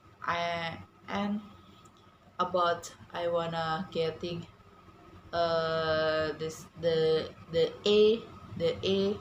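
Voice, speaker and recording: A woman with a non-native accent and a fairly low pitch speaks at a very slow pace with fairly even intonation. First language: not English. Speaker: English language student. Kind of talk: prepared speech. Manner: halting, many fillers.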